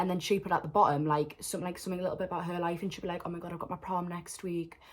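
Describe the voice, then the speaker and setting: The speaker talks at a very fast pace in a Geordie accent. Noticeable background noise can be heard. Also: woman, fairly low pitch for a woman. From northern England, Newcastle. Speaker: vlogger. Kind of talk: storytime vlog. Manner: animated.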